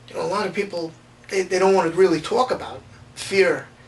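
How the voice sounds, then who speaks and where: Amid noticeable background noise, a man speaks in a high pitch with ordinary pitch variation. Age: 40s. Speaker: patient. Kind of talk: testimony.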